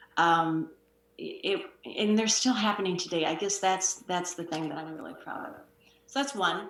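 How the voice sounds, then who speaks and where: Over audible room echo, a woman talks at a moderate pace and medium pitch, her intonation lively and her loudness swinging widely. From Wisconsin, US Midwest. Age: 60s. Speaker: author and communication consultant. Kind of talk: interview. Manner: hesitant, many fillers.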